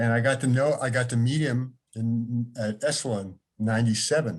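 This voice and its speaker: Over a quiet background, a man speaks at a medium pitch with ordinary pitch variation. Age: 60s. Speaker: author and longtime fan. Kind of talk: casual share in an online salon. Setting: video call.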